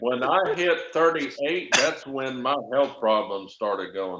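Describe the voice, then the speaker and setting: The pace is very slow. Pitch swings are very wide. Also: man. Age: 50s. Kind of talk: casual chat. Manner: slurred speech.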